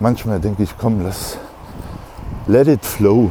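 Amid noticeable background noise, a man talks at a fairly slow pace in a fairly low voice with ordinary pitch variation. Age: 40s. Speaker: solo podcaster. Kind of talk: casual monologue while walking. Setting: outdoors, walking. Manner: halting, many fillers.

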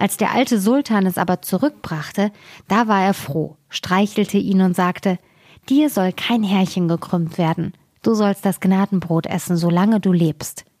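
A woman with a plain, everyday voice speaks at a medium pitch and a fairly slow pace. Her ordinary pitch variation is heard in a dry, close sound with no echo. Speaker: fairy tale reader. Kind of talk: fairy tale reading aloud, scripted narration. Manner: storytelling, expressive, changing tone for characters.

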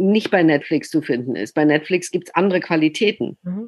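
This woman's voice sits fairly low in pitch and shows ordinary pitch variation. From southern Germany, Baden. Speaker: opera director and author. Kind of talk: casual interview.

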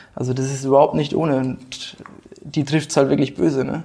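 Against noticeable background noise, a man speaks fairly quickly at a fairly high pitch. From Rhön region, Lower Franconia, Germany. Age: 20s. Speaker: football club board member. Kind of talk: casual interview.

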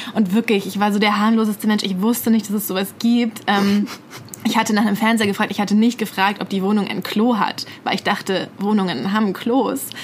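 Amid noticeable background noise, a woman talks at a fairly quick pace in a monotone, flat intonation. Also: medium pitch for a woman. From Bad Mergentheim, Baden-Württemberg, Germany. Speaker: podcast co-host, journalist. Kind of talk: casual chat. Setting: studio.

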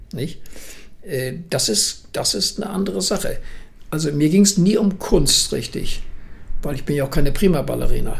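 Moderate-paced speech with long, frequent pauses, audible room echo and noticeable background noise. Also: man. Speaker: martial arts grandmaster. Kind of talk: interview. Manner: halting.

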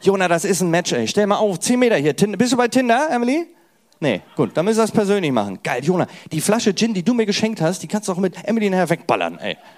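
Speaking at a very fast pace, a man uses lively intonation and a high pitch. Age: 30s. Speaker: stand-up comedian. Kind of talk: casual chat; stand-up. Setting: stage with audience. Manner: animated.

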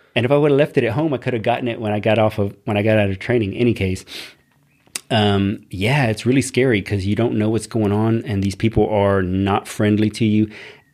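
A man with a Texan accent speaks at a fairly quick pace, his fairly low voice keeping a fairly even intonation. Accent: Texan American English. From Texas, Corpus Christi. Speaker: army veteran. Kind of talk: casual chat.

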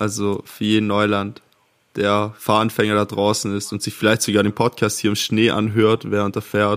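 This man has a fairly low pitch and a monotone, flat intonation. His pace is moderate. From near Ravensburg, Swabia (southern Germany). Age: 20s. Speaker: podcast co-host. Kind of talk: casual chat.

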